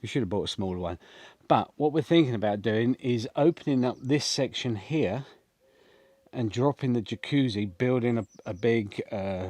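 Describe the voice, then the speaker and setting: The sound is dry and close with no echo, over a quiet background. A man with an English accent speaks at a medium pitch in a dark, mellow tone. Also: ordinary pitch variation, moderate pace. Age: 60s. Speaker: homesteading vlogger. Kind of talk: vlog walkthrough. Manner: casual, hesitant with fillers.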